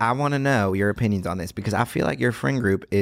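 The reading voice here is a natural one.

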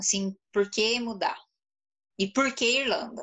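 A woman's plain, everyday voice, fairly high in pitch, with a fairly slow pace and ordinary pitch variation. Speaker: live stream host and Portuguese teacher. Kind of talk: casual live stream interview.

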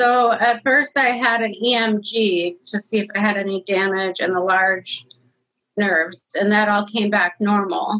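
This woman has a normal speaking voice at a medium pitch, with very even loudness. Her intonation stays fairly even and her pace is fairly slow. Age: 30s. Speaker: nursing assistant and COVID long hauler. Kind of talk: personal testimony interview.

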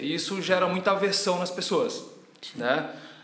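A man speaks fairly quickly in a high pitch. Noticeable background noise and audible room echo surround his voice. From Ceará, Brazil (Tianguá). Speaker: personal trainer and gym owner. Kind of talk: casual interview.

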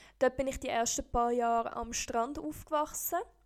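This woman has a high pitch with ordinary pitch variation. She talks at a fairly slow pace on a very clean recording with a silent background. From Costa Rica. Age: 20s. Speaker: podcast host. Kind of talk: scripted podcast intro.

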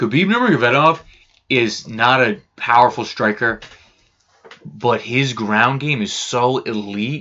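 This man uses a normal speaking voice at medium pitch. He goes at a fairly slow pace with ordinary pitch variation. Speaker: podcast co-host. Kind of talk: casual chat.

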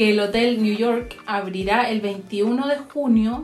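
With audible room echo around her, a woman talks at a fairly high pitch with ordinary pitch variation. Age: 30s. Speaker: podcast co-host. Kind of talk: casual chat.

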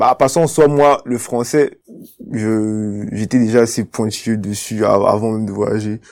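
A man with a medium pitch talks at a very slow pace, his intonation fairly even. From Cameroon, Yaoundé. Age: 20s. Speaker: university student. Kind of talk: testimony interview. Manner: hesitant, repeats words.

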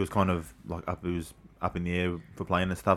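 Fairly quick speech from a man with an Australian accent. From Sydney inner west, Australia. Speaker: former rugby league player. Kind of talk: casual chat. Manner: fast.

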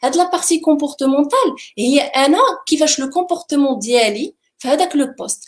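Very fast and with lively intonation, a woman speaks in a high pitch. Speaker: HR and engagement manager. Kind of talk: panel discussion giving interview advice.

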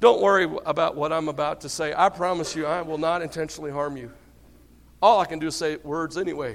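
A man's hoarse, put-on character voice in a Southern accent, very fast, fairly high-pitched, with ordinary pitch variation.

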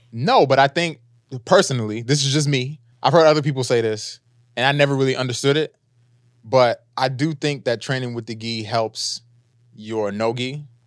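This man has a plain, everyday voice of medium pitch with ordinary pitch variation, speaking at a moderate pace in a very clean recording with a silent background. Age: 30s. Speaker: podcast host. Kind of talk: casual chat.

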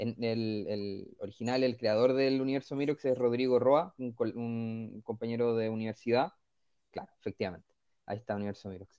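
Medium in pitch, a man speaks at a moderate pace. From northern Chile (Vallenar). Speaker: comic book writer. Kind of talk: radio interview. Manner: halting, many repetitions.

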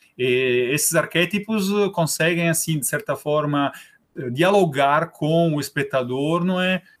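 A man with an Italian accent and a fairly high pitch, fairly slow delivery, ordinary pitch variation and very even loudness, on a very clean recording with a silent background. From Italy (Rome). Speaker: film club organizer. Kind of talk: interview.

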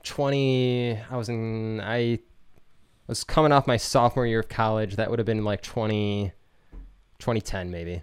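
On a very clean recording with a silent background, a man with an American accent and a medium pitch talks at a moderate pace with fairly even intonation and long, frequent pauses. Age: 30s. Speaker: musician and podcaster. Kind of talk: casual chat.

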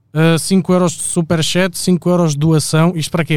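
An ordinary speaking voice from a man, fairly high pitch at a moderate pace. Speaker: podcast co-host. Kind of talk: casual chat. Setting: studio, live stream.

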